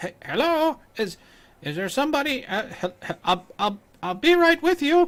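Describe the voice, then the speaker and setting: A put-on character voice, pitched high, swings very widely up and down. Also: moderate pace. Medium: actual play. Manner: stammering, timid.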